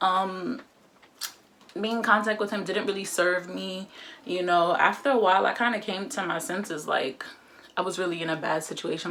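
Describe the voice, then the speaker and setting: Noticeable background noise surrounds a woman with a fairly low voice. She speaks at a moderate pace with ordinary pitch variation. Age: 20s. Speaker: vlogger. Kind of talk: casual chat. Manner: casual, filler-heavy.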